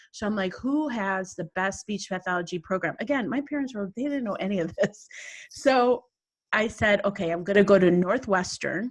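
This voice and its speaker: A somewhat breathy woman's voice at medium pitch, with ordinary pitch variation, a fairly quick pace and a quiet background. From US Midwest, Chicago. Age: 60s. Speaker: business coach. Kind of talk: podcast interview.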